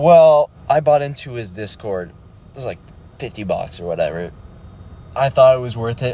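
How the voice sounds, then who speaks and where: A somewhat breathy, dark and mellow voice with lively intonation and big swings in loudness. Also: man, medium pitch for a man, moderate pace. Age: young. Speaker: solo podcaster, beginner day trader. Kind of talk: casual monologue. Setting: in a car. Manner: halting, many fillers. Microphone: poor audio quality.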